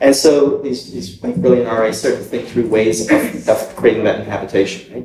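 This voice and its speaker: Audible room echo accompanies a man talking at a moderate pace. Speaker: artist, writer and cultural organizer. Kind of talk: recorded dialogue before a small live circle. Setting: university room with a small audience. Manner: conversational, frequent tag questions.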